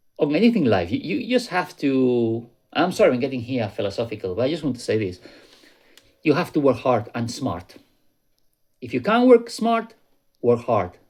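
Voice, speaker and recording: Speaking at a moderate pace with a non-native accent, a man at medium pitch makes very wide pitch swings and takes long, frequent pauses. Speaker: YouTuber warning about crypto scams. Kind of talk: casual vlog commentary. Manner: conversational, with fillers and repetitions.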